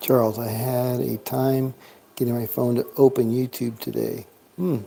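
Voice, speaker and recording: Over noticeable background noise, a man speaks with fairly even intonation. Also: moderate pace. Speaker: live-stream craps dice host. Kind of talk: casual live-stream chat with dice calls. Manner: talking quietly, not booming.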